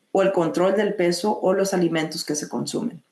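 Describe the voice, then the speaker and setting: A woman at a moderate pace. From Mexico (Monterrey), moved to US at 7. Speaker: psychologist / mental health clinician. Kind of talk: online webinar presentation. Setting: online video meeting. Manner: hesitant, many fillers and repetitions.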